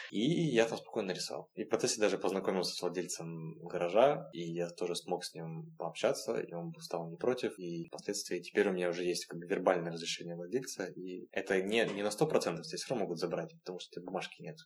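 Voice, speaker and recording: A man's very deep, low voice shows ordinary pitch variation and big swings in loudness. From Russian Far East, Vladivostok. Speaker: graffiti artist. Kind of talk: interview conversation.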